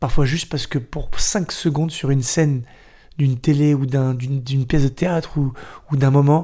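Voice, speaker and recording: A somewhat breathy man's voice, fairly high-pitched, with a dark, mellow tone and fairly even intonation. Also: moderate pace. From Paris northern suburbs. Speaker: dancer and actor. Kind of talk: podcast interview.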